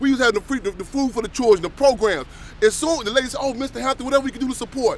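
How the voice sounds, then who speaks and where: Over background music, a man with an American accent talks at a very fast pace in an animated tone, his pitch extremely high with ordinary variation. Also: big swings in loudness. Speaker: activist speaker. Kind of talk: speech to audience.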